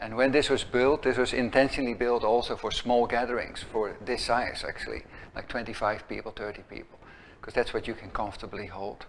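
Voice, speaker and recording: With big swings in loudness, a man in a Dutch accent talks fairly quickly at a medium pitch with fairly even intonation. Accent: Dutch, noticeable. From Netherlands. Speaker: executive director of an educational center. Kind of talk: opening talk to a small gathering. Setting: room with small live audience. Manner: halting, many fillers and restarts.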